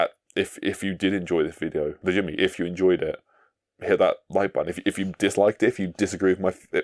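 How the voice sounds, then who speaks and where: A man at a very fast pace, dry and close with no echo. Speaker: gaming video essayist. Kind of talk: video essay outro, casual monologue. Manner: halting, many fillers and restarts.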